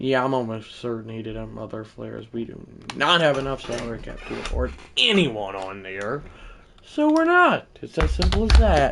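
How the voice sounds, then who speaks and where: Big swings in loudness run through a man's speech, delivered at a moderate pace. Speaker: gaming live streamer. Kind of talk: live gameplay commentary. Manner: casual, rambling with fillers.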